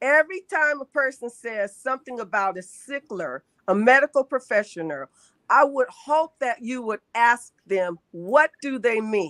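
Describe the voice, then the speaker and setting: A woman speaks loudly at a fairly slow pace with lively intonation and a high pitch, in a very clean recording with a silent background and a dry, close sound with no echo. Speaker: sickle cell advocate. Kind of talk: casual chat.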